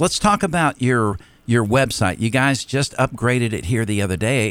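Here is a man with an unremarkable speaking voice at medium pitch. He keeps a moderate pace and lively intonation. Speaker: radio co-host. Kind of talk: morning radio chat. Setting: studio.

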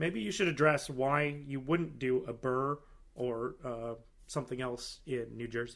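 A plain, everyday voice talks at a fairly slow pace with ordinary pitch variation. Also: man, medium pitch for a man. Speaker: podcast host. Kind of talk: casual interview.

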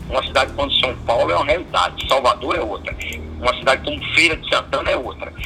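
A man's very fast speech over noticeable background noise. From Bahia, Brazil. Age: 70s. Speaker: business federation president. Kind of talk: interview.

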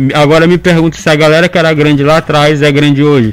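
Noticeable background noise accompanies talking that proceeds at a fairly quick pace. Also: man. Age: 20s. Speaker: anonymous social media news page creator and law student. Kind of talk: radio interview. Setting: radio studio.

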